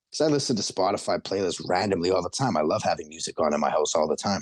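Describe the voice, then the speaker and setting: A man's vocal fry at a fairly quick pace, with very wide pitch swings. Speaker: rapper. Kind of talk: casual interview chat.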